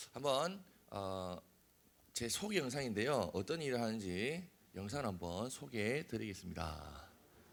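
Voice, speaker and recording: A man with a Busan accent, medium pitch, vocal fry, very wide pitch swings and a fairly slow pace. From Korea, Busan. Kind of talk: lecture to youth. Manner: casual, joking.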